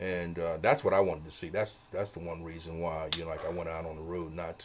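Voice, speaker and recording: A man talks with a very deep, low pitch. His pace is fairly quick and his intonation fairly even. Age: 70s. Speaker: veteran touring and studio musician. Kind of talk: interview. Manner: halting, many fillers.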